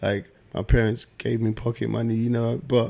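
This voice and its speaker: This is a man with a London accent. His pitch sits in the medium range. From South East London. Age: 30s. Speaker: music manager and entrepreneur. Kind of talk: casual interview. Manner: calm.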